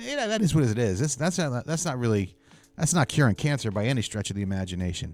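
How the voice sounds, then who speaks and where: With music in the background, a man with an American accent talks at a very fast pace, his medium pitch swinging very widely. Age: 60s. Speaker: vlogger. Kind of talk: personal monologue. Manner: halting.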